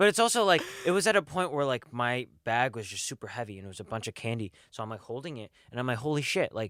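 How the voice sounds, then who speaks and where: An animated man at medium pitch talks at a very fast pace with lively intonation. The recording is very clean, with a silent background. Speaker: college podcast co-host. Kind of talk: casual chat. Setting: studio. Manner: loud.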